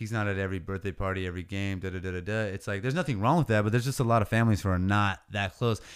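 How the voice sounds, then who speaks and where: At a very fast pace with hardly any pauses, a man with an American accent speaks at fairly low pitch with ordinary pitch variation, in a very clean recording with a silent background. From California, Oceano. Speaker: rapper and landscaping business owner. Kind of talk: casual chat. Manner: casual slang-heavy.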